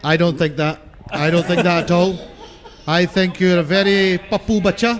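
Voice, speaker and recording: A man's high-pitched voice at very even loudness, over noticeable background noise. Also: fairly even intonation, moderate pace. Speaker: cricket commentator. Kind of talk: live commentary. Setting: commentary box.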